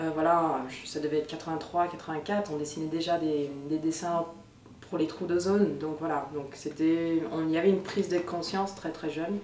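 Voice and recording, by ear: Room echo surrounds a woman's low-pitched voice. Her tone is slightly mellow and her intonation fairly even. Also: moderate pace.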